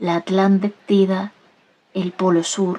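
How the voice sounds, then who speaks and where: Soft-spoken and in a gentle tone, a woman talks at a very slow pace and a medium pitch. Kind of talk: soft audiobook-style reading, ASMR. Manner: soft-spoken, gentle, slow.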